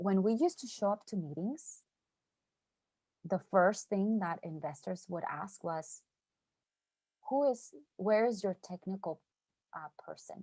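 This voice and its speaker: In a Mexican accent, a woman speaks at medium pitch with a dark, mellow tone and lively intonation. She takes long, frequent pauses, and the sound is dry and close with no echo. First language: Spanish. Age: 30s. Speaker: tech startup founder, speaker. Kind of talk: motivational talk.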